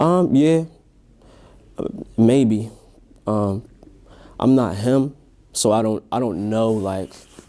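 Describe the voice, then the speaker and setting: A quiet man's voice, dark and mellow in tone, with lively intonation, a very slow pace and long, frequent pauses. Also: medium pitch for a man. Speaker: music producer and rapper. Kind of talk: interview. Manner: quiet, introverted; halting.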